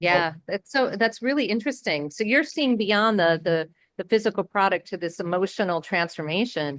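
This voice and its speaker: Speaking in a normal speaking voice, a woman keeps a medium pitch and a moderate pace. Her intonation is lively, and she hardly pauses at all. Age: 50s. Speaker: interviewer, beauty collective host. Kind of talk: interview.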